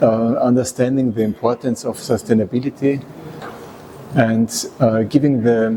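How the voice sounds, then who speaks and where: A man of medium pitch talks at a moderate pace with fairly even intonation and long, frequent pauses, against noticeable background noise. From Austria. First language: German. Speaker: resource efficiency consultant and engineer. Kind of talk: interview. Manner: halting.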